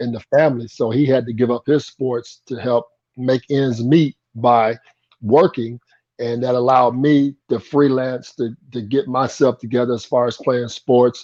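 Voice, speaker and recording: A man speaks in an ordinary speaking voice with an American accent, at medium pitch and a moderate pace, his intonation fairly even and the sound dry and close with no echo. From Indiana, US Midwest (Anderson). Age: 60s. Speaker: former pro basketball player. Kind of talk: interview.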